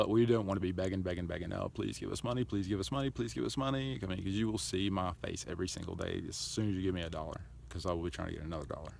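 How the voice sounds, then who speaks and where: A man's very deep, low voice, very fast and lively in intonation, with audible room echo. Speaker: charity founder vlogger. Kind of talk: casual vlog monologue.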